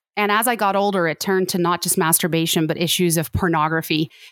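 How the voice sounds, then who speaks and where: A woman with a Canadian accent and a plain, everyday voice speaks at a fairly low pitch and moderate pace with ordinary pitch variation, the sound dry and close with no echo on a very clean recording with a silent background. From Canada. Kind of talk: interview testimony.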